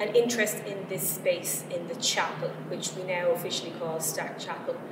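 Noticeable background noise runs under the recording. A woman talks at a fairly slow pace. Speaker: arts centre programmer. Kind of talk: formal introduction. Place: hall.

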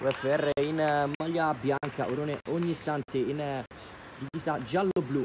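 A man at a fairly slow pace, with big swings in loudness and noticeable background noise. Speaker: match commentator. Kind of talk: live sports commentary. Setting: football match, commentary over live video. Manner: excitable, rising to shouts on goals. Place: stadium.

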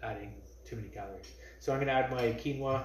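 A man's slightly mellow, medium-pitched voice with audible room echo

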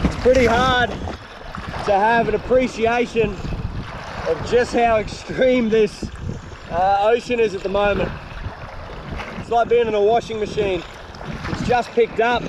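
A man speaks in a flat monotone at a fairly slow pace, with long, frequent pauses, dry sound with no echo, and noticeable background noise. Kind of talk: casual vlog chat. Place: boat. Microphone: phone near.

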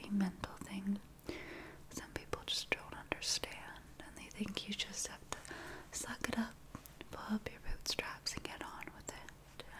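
A woman whispers in a gentle tone at a fairly slow pace, with long, frequent pauses. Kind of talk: role-play consultation. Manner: soft, gentle ASMR speaking voice. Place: home room.

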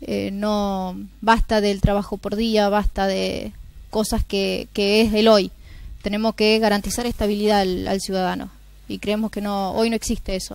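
A woman speaks at a fairly slow pace in a monotone, flat delivery, the sound dry with no echo. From Argentina, Santa Fe province. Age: young. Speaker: mayoral candidate; election candidate. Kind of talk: TV interview. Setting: TV studio. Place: studio. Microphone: lapel.

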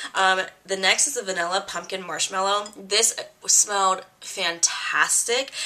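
There is noticeable background noise. Through it, a woman speaks at medium pitch. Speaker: beauty vlogger. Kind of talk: casual chat. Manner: casual, filler-heavy.

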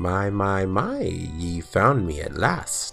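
Clear music plays behind a man doing a put-on character voice with a very deep, low pitch. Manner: mischievous, knowing.

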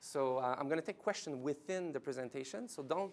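The speaker is a man with a French Canadian accent. His pitch sits fairly high.

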